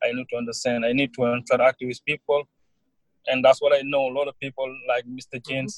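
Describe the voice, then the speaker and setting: His delivery is very fast, monotone and flat, with a medium pitch for a man. The sound is dry and close, with no echo. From Senegal. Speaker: college student. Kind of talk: interview. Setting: online call.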